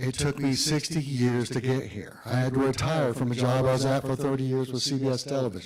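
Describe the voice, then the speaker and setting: Here is a man with an ordinary speaking voice at medium pitch. His intonation is fairly even. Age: 60s. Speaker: auto industry association president. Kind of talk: speech to students.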